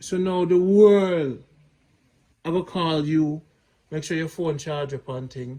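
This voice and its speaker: A man with a Jamaican accent, fairly high-pitched, dark and mellow in tone, with ordinary pitch variation, a very slow pace and long, frequent pauses. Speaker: vlogger. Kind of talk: casual chat.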